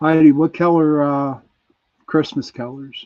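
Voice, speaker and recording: A man speaks with a Pittsburgh accent. His intonation is fairly even. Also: quiet background. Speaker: online show host. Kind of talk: casual live chat with audience quiz.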